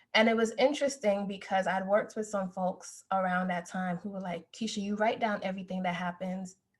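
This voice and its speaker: Somewhat breathy, a woman speaks at a fairly quick pace. Her intonation is fairly even and she hardly pauses. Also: medium pitch for a woman. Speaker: podcast co-host, academic. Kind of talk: casual chat, personal story. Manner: soft-spoken.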